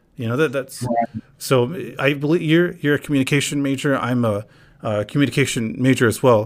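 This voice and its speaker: A man with a plain, everyday voice speaks at a fairly quick pace in an American accent. His pitch is medium, with ordinary variation. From North Carolina, US, with some years in Palestine. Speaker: podcast host. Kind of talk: casual chat.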